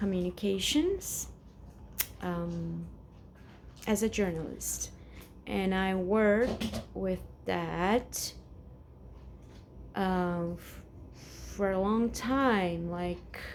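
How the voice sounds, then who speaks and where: Speaking at a very slow pace with long, frequent pauses, a woman's voice carries audible room echo. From Brazil, São Paulo. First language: Portuguese. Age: 40s. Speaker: vlogger. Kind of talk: casual personal vent to camera. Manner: halting, many fillers and repetitions.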